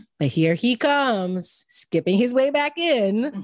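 A woman talks at a fairly slow pace. Her pitch moves in very wide swings. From Jamaica. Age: 20s. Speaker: podcast guest, wife. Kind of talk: casual chat.

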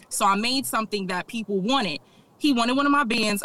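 Lively intonation moves at a moderate pace over noticeable background noise. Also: woman. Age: 20s. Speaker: small business owner, soap maker. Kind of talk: interview.

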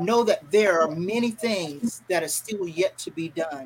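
A woman's medium-pitched voice moves at a fairly slow pace, its pitch varying in an ordinary way. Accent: North Carolina. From Fayetteville, North Carolina. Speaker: radio broadcaster. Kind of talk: interview, motivational talk. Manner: halting, with fillers.

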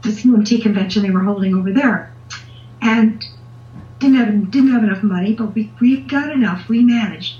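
A woman talks at a fairly high pitch with ordinary pitch variation and a moderate pace. Noticeable background noise sits behind her. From Canada, southern Ontario. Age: 70s. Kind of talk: interview answers, casual chat. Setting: phone or video call.

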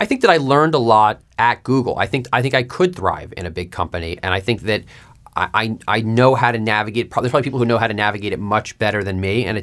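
A man talks with an American accent at a very fast pace. His pitch variation is ordinary. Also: very clean recording, silent background. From New York. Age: 30s. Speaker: media executive. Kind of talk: interview.

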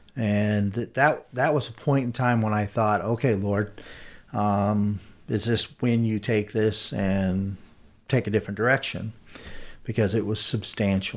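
A man with an American accent has an ordinary speaking voice at a fairly low pitch. He talks fairly slowly, with fairly even intonation. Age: 50s. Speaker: business owner. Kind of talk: interview.

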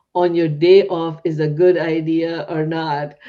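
A woman with a dark, mellow tone and a non-native accent. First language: not English. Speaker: podcast host and psychiatrist. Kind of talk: interview; scripted outro.

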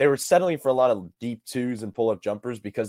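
A man in an unremarkable speaking voice at a fairly quick pace, ordinary pitch variation, dry and close with no echo, on a very clean recording with a silent background. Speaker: sports podcast co-host. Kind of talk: sports analysis discussion.

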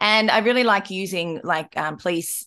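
A woman with an Australian accent speaks at a fairly slow pace against a quiet background. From rural Australia. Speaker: podcast host. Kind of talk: casual chat.

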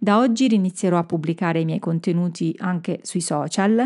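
Against a quiet background, a woman speaks at medium pitch in a dark, mellow tone. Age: 50s. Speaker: communication and marketing coach for professionals. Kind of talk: solo podcast monologue. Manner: hesitant, with filler sounds.

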